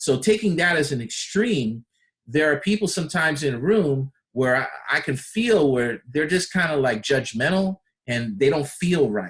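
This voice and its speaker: This man's voice is fairly high-pitched and somewhat breathy, moving at a moderate pace with very wide pitch swings. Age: 50s. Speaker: personal development coach. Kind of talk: personal development talk. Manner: conversational.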